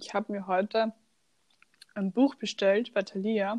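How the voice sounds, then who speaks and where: A woman's fairly high voice with an Austrian accent, dry and close with no echo, over a quiet background. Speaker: podcast co-host. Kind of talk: casual chat.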